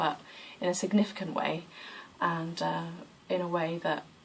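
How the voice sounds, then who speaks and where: A woman speaks with a fairly low pitch. Noticeable background noise runs underneath. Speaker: yoga practitioner vlogger. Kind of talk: casual vlog monologue.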